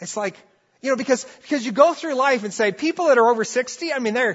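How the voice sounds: The voice has a fairly bright tone with a slightly husky edge. Intonation is lively and the pace fairly quick. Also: man.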